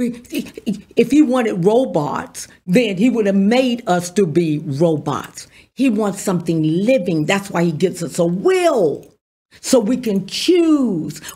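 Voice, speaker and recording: A woman's dark, mellow, somewhat breathy voice at a very slow pace, with very wide pitch swings. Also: medium pitch for a woman. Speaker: pastor. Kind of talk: sermon. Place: studio. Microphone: studio mic.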